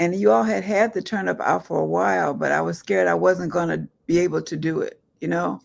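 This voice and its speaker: Her pitch very deep and low, a woman talks at a fairly quick pace with very wide pitch swings. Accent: American. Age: 70s. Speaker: retired federal worker, program participant. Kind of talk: interview testimony. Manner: casual, conversational.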